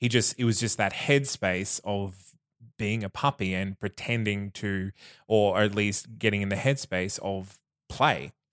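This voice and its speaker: A man with an Australian accent speaks fairly slowly at a fairly low pitch, with ordinary pitch variation. The sound is dry and close with no echo, in a very clean recording with a silent background. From Australia, regional Queensland (Bundaberg). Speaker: podcast guest sharing personal experience. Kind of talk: casual interview chat.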